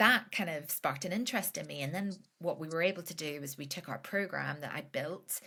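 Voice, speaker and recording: A woman talks at a fairly quick pace with ordinary pitch variation. Her tone is bright and sharp, and her loudness swings widely. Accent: Northern Irish. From Northern Ireland. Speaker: business founder, financial educator. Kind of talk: podcast interview. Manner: casual, many fillers.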